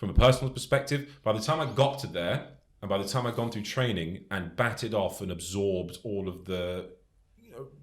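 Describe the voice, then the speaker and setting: In a British accent, a man speaks fairly quickly with a fairly low pitch. His loudness swings widely. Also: ordinary pitch variation. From England. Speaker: soldier. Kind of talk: casual chat. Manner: animated.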